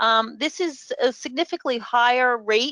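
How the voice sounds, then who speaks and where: A woman's high, bright, sharp voice in a New York accent, lively intonation, fairly slow pace, dry, close sound with no echo. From New York City. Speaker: professor. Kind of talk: webinar presentation. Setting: online webinar. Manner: hesitant with many fillers.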